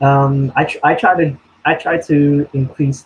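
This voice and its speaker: A man talks in a fairly high pitch with ordinary pitch variation. His voice is somewhat breathy. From Indonesia (Surabaya). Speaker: international student. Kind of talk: casual interview. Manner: hesitant, many fillers.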